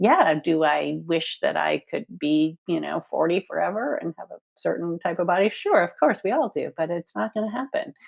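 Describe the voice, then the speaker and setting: A woman speaks at a moderate pace. She hardly pauses at all. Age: 60s. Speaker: body positivity organization founder and author. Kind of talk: podcast interview. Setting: podcast recording.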